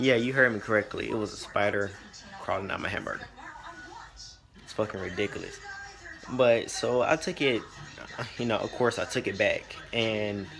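A man at a moderate pace with long, frequent pauses, over clear music in the background. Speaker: vlogger. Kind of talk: casual vlog storytime. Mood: amused, exasperated. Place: home room. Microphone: phone near.

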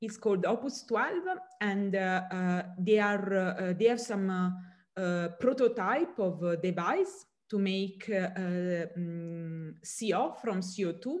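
Against a quiet background, a woman with an Italian accent speaks at a medium pitch and a very slow pace, with ordinary pitch variation. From southern Italy. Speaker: chemistry professor. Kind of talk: interview. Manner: halting, many fillers. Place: home room. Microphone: webcam.

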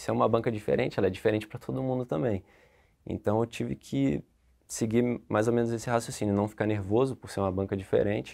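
A man's fairly low-pitched voice with a dark, mellow tone, very fast pace and ordinary pitch variation, set against a quiet background. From Niterói, Rio de Janeiro, Brazil; Rio de Janeiro, Brazil. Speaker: tax auditor; candidate. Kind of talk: interview. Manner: halting. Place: studio. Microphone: lapel.

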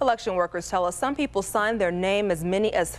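A woman at medium pitch speaks with vocal fry. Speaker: TV news anchor. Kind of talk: local TV news reading. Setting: TV studio. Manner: clear, even-paced anchor delivery.

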